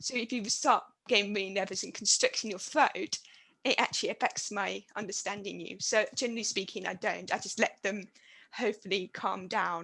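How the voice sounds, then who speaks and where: With a bright, sharp tone at medium pitch, a woman speaks at a fairly quick pace and fairly even intonation. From Britain. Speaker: university administrator and deaf academic. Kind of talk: panel discussion.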